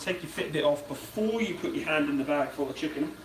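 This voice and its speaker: A man with ordinary pitch variation, amid noticeable background noise and audible room echo. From Britain. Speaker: YouTuber. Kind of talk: casual live stream chat while cooking.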